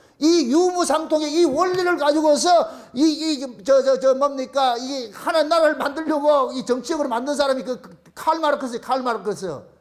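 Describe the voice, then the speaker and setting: Amid noticeable background noise and audible room echo, a man speaks at an extremely high pitch, with ordinary pitch variation and big swings in loudness. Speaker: pastor. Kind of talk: sermon. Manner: fast.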